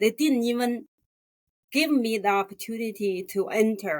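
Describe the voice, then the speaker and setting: The woman's pitch sits fairly high. Her pace is fairly slow. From rural China. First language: Chinese. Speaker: graphic designer. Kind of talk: interview. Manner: halting.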